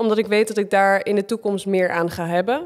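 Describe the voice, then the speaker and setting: In a very clean recording with a silent background, a woman with a plain, everyday voice talks at a fairly quick pace, her medium pitch carried by fairly even intonation. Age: 20s. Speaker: reality TV contestant and gym owner. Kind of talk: casual chat.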